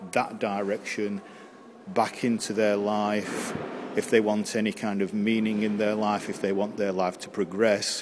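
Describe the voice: A man at a fairly slow pace, pitched fairly low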